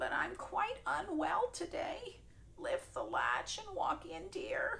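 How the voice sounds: Shaky and female-sounding, this put-on character voice sits at an extremely high pitch and moves at a fairly slow pace over clear background noise.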